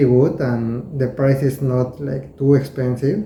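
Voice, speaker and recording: With a Spanish accent, a man speaks at a fairly slow pace and a fairly high pitch. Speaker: knife collector, video creator. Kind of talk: casual show-and-tell tutorial. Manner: halting, with hesitations and repeated words.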